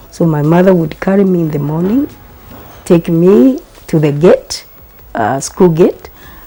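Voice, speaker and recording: Over noticeable background noise, a woman with a fairly low pitch speaks at a fairly slow pace, her lively intonation broken by long, frequent pauses. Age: 70s. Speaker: polio survivor. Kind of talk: testimony.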